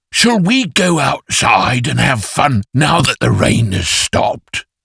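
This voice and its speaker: Cartoonish, growling male character voice at medium pitch and a fairly slow pace. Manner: warm, kind.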